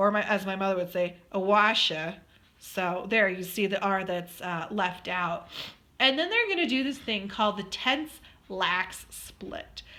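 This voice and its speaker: A woman speaks at a fairly slow pace with lively intonation. Her tone is bright and sharp. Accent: American. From Colorado, US. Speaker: student presenter. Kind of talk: recorded slide presentation. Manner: casual, with many fillers.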